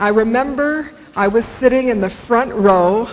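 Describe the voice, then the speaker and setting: Amid noticeable background noise and audible room echo, a woman with an American accent talks fairly slowly with ordinary pitch variation. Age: 60s. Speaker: motivational speaker. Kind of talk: keynote speech. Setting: stage with audience.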